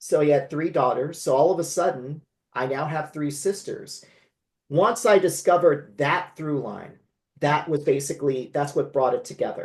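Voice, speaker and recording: Against a quiet background, a man with a West Coast US accent talks at a moderate pace. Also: fairly high pitch for a man, ordinary pitch variation. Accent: General American, West Coast. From California. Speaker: memoir author. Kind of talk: interview conversation.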